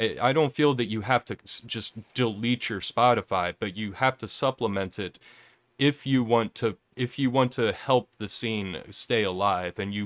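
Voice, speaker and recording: Recorded with a dry, close sound and no echo, the voice moves at a moderate pace with ordinary pitch variation. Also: man. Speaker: livestream interview host. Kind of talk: casual live-streamed interview chat. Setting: live online stream. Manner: halting, self-correcting.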